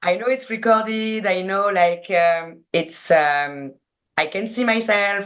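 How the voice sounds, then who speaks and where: With a French accent, a woman speaks at a very slow pace and medium pitch, her pitch varying in an ordinary way over a quiet background. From France. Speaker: sports PR agency co-founder. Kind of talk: casual interview chat. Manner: halting, searching for words.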